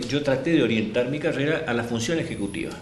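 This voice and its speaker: The speaker is a man. Noticeable background noise and audible room echo fill the recording. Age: 60s. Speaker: politician. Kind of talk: interview. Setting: office.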